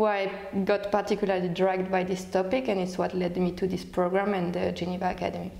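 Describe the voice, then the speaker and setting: There is audible room echo as a woman talks with a French accent at a medium pitch. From France. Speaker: researcher and alumna. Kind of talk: testimonial interview. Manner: hesitant, many fillers. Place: office. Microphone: lapel.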